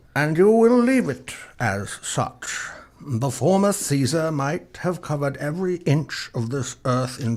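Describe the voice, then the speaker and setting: Using a put-on character voice, a man speaks at a fairly slow pace with very wide pitch swings. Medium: audio drama. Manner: commanding, measured.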